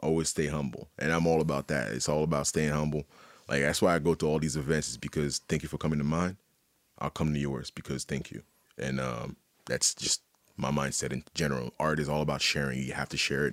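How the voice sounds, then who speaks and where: Heard in a dry, close sound with no echo, a man talks at a fairly quick pace with a very deep, low pitch, vocal fry and fairly even intonation. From Haiti. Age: 30s. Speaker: visual artist. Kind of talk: casual chat.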